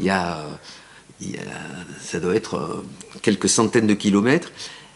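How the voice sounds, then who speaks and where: Noticeable background noise sits behind a man's fairly low pitch. He speaks with a southern French accent. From southern France. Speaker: architect. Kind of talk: lecture. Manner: halting, many fillers and repetitions.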